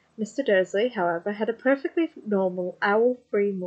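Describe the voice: What you hear is plain reading aloud.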